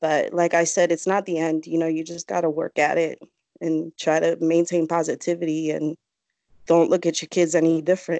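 A woman's fairly low, dark and mellow voice, fairly quick and flat in monotone, dry with no echo against a quiet background. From Connecticut. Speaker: political supporter. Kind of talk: casual interview. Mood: emotional, personal. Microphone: video call.

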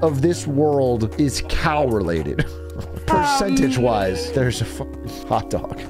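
Clear music sounds in the background. The man's pace is fairly slow. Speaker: streamer. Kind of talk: casual stream commentary. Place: home room. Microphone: studio mic.

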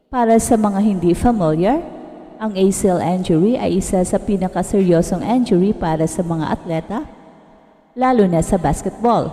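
A woman at a medium pitch with ordinary pitch variation and a moderate pace, amid noticeable background noise. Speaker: sports news narrator. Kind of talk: scripted narration.

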